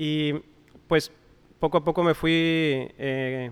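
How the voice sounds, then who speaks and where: With monotone, flat intonation, a man talks at a fairly high pitch. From Mexico, Coahuila. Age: 40s. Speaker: coffee shop owner and roaster. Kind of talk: interview. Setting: his coffee shop.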